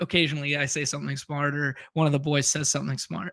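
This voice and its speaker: Recorded dry and close with no echo against a silent background in a very clean take, the bright, sharp voice carries a Canadian accent. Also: man. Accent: Canadian, noticeable. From western Canada. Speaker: fantasy football player and streamer. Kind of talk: casual interview chat. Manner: laid back.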